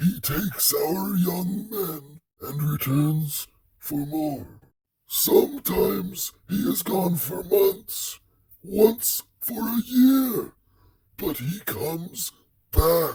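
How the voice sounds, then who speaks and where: In a put-on character voice, a man talks at a high pitch and a very slow pace, with lively intonation. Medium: audio drama. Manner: solemn, broken simple speech.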